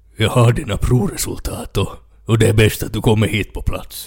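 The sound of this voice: A man uses a put-on character voice at medium pitch. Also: ordinary pitch variation.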